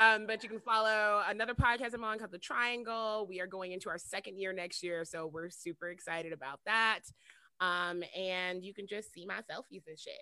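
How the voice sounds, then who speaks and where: A woman's medium-pitched voice with a bright, sharp tone and ordinary pitch variation. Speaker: podcast co-host. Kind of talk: casual chat.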